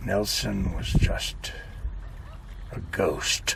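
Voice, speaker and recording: A man puts on a gruff, growling character voice. Loud noise fills the background. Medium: read story. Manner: gruff, confiding.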